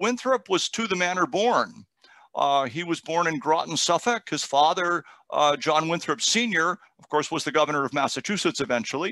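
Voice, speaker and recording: A man speaks with lively intonation and a bright, sharp tone, his loudness swinging widely, in a dry recording with no echo. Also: moderate pace. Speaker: guest lecturer. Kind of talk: lecture. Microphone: headset.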